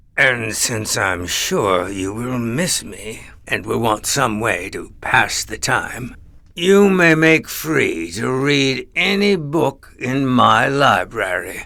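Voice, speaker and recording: A man's put-on character voice at a medium pitch, delivered at a very slow pace. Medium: read story. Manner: domineering, mocking.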